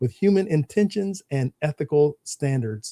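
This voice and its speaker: This man has a dark, mellow tone and talks at a fairly quick pace. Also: dry, close sound with no echo. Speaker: co-host of a tech book club podcast. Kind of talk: casual podcast discussion.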